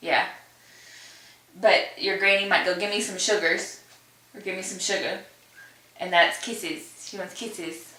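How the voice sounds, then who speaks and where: A woman's medium-pitched voice with a Kentucky accent, moderate pace, long, frequent pauses, ordinary pitch variation and big swings in loudness, over noticeable background noise. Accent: Southern US (Kentucky). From Kentucky, USA. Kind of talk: casual talk to camera.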